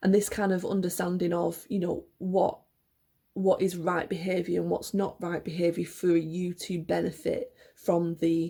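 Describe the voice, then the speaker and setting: Her voice is fairly low and shows vocal fry. This woman speaks with monotone, flat intonation. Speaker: education worker and book reviewer. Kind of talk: casual book review monologue. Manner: hesitant with many fillers.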